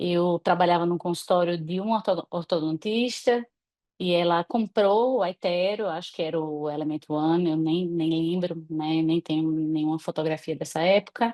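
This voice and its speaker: Her tone dark and mellow, a woman speaks at a fairly low pitch and moderate pace with ordinary pitch variation. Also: dry, close sound with no echo. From Natal, northeastern Brazil. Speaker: dentist. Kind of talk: online talk presentation.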